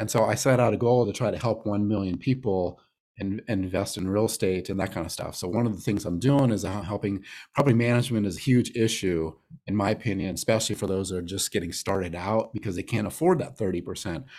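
With an American accent and a fairly low voice, a man talks at a very fast pace with ordinary pitch variation. The recording is very clean, with a silent background. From Arizona, Phoenix. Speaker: real estate investor. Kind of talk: interview.

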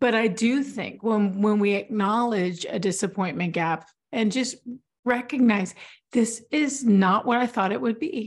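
A woman speaks slowly-ish, at a fairly slow pace, in a plain, everyday voice of medium pitch. Her intonation is lively over a quiet background. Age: 40s. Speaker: stroke survivor, author and writing coach. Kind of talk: casual interview.

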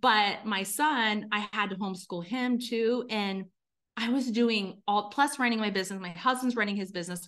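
At a moderate pace, a woman speaks in a plain, everyday voice, fairly high in pitch with ordinary pitch variation. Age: 40s. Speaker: business consultant. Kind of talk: interview.

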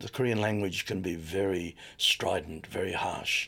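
With an Australian accent, a man talks at a fairly slow pace in a fairly low pitch. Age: 70s. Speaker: missionary. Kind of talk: testimony.

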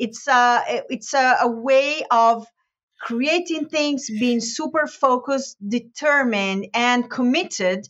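The speaker goes at a slow pace with a fairly bright tone and ordinary pitch variation. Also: woman, fairly high pitch for a woman.

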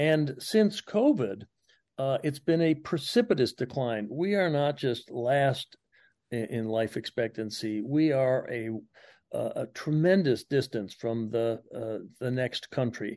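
A man with an American accent speaks at a fairly slow pace, his medium-pitched voice dark and mellow in tone, with lively intonation over a quiet background. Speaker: public health professor. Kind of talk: radio interview.

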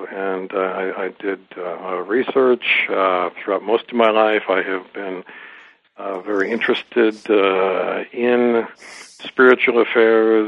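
Over noticeable background noise, a man with an American accent speaks at a very slow pace, with a fairly low pitch and fairly even intonation. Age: 60s. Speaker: author and former diplomat. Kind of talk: interview. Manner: hesitant with many fillers.

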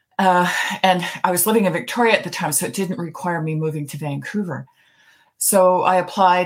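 This woman has a fairly low pitch and a somewhat breathy voice with a Canadian accent. The recording is very clean, with a silent background. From Canada, Toronto. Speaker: retired judge. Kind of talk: interview.

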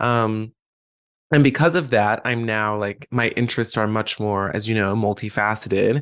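Against a quiet background, a man with an unremarkable speaking voice and medium pitch talks at a moderate pace with fairly even intonation. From Atlanta, US South. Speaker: actor and graduate student.

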